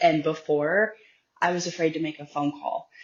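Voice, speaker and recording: A woman speaks at a very deep, low pitch and a moderate pace. Her intonation is monotone and flat. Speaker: light language practitioner. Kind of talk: casual chat.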